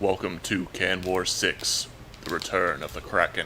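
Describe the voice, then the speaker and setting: Doing a put-on character voice, a man speaks at a very deep, low pitch in a monotone, flat way, with clear background noise behind him. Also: moderate pace. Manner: dramatic, trailer-style.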